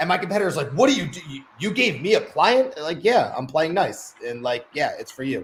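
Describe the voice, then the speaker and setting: Pitch swinging very widely, a man talks at a fairly quick pace. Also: big swings in loudness. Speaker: DJ business owner. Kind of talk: casual panel discussion. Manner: fast.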